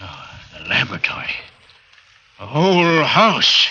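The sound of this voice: Putting on a character voice, a man speaks at a fairly slow pace with a fairly high pitch, very wide pitch swings and a bright, sharp tone, with audible room echo around him.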